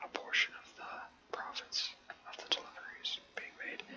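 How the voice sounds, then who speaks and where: A man whispers in a relaxed tone. Noticeable background noise sits behind him. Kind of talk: whispered ASMR gaming ramble to camera. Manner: whispered, relaxed, rambling.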